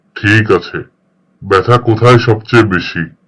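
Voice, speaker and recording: Putting on a cartoonish character voice, a man speaks at a medium pitch with fairly even intonation. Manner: dry, sarcastic.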